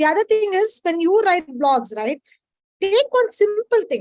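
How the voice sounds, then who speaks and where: This woman speaks with an Indian accent and very wide swings in pitch. The sound is dry and close, with no echo. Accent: Indian English (Tamil). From India, Chennai. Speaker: data science professional. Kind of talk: webinar Q&A advice. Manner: casual, informal.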